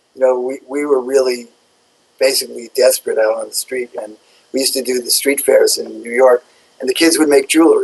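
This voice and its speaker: A man with an American accent talks at a fairly quick pace. His loudness swings a lot. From United States. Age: 60s. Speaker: shoe company co-founder. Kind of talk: interview. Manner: halting.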